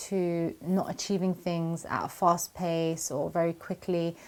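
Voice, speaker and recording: With a British accent, a woman talks at a fairly low pitch. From UK. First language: not Arabic. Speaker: Quran memorization coach. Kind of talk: Q&A video answering viewer questions.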